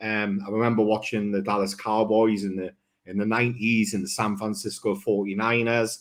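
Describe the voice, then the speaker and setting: A man with a Geordie accent speaks at a fairly quick pace and medium pitch, on a very clean recording with a silent background. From northern England, Newcastle upon Tyne. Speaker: football fan guest. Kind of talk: casual chat.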